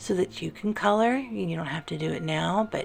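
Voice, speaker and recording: With music in the background, a soft-spoken woman talks in a calm, soothing tone. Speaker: artist and ASMR creator. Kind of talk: ASMR coloring session, casual talk to camera. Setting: art studio with classical music in the background. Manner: soft-spoken, calm, soothing.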